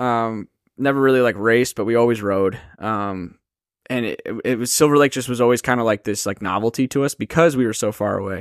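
A man with an American accent speaks fairly quickly in an ordinary speaking voice, medium in pitch with ordinary pitch variation. The very clean recording has a silent background and a dry, close sound with no echo. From US Midwest. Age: 30s. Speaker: stuntman. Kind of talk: casual chat.

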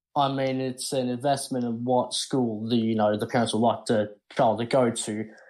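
This man has an Australian accent and a medium pitch. He speaks at a moderate pace with flat, monotone intonation. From Australia, Sydney. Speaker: caller. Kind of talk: call-in argument.

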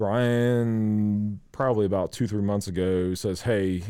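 A dark, mellow tone in a Southern US accent, with ordinary pitch variation, on a very clean recording against a silent background. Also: man. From US South (South Carolina). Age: 30s. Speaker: beer sales rep. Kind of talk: casual interview chat.

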